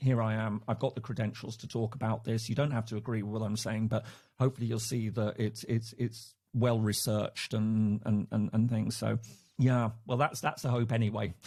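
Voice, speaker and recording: Speaking with an English accent at a fairly quick pace, a man has a dark, mellow tone that is somewhat breathy and monotone, flat intonation, in a very clean recording with a silent background. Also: medium pitch for a man. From England. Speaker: professor. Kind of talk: casual chat. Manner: halting, many repetitions.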